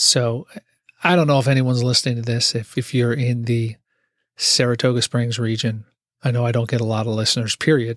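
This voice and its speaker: The man talks at a fairly quick pace and a medium pitch. His intonation is fairly even. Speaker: podcast host and IT worker. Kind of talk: solo casual monologue. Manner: halting, stumbling over words.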